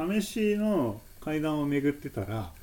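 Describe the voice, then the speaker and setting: A man's fairly high voice with a dark, mellow tone, very wide pitch swings and a very slow pace, plus audible room echo. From Japan, Nagoya. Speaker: stairs and slopes enthusiast. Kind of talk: casual chat.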